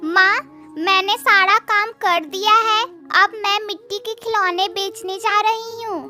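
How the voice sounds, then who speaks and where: A cartoonish character voice, female-sounding and extremely high-pitched, at a fairly slow pace over clear music in the background. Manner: meek, polite.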